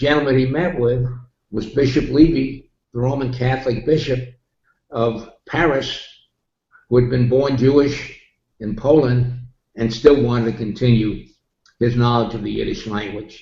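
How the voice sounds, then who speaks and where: Long, frequent pauses mark a somewhat breathy man's speech in a New York accent, his intonation fairly even and the room echo audible. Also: medium pitch for a man, moderate pace. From New York City. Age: 80s+. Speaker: interviewee. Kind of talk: interview. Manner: halting.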